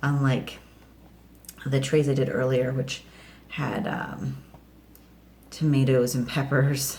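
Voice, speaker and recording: A quiet woman speaks at a fairly slow pace with a very deep, low pitch and ordinary pitch variation, over noticeable background noise and audible room echo. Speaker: home gardening vlogger. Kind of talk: casual vlog tutorial. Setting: home kitchen. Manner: hesitant, many fillers; quiet, kids asleep nearby.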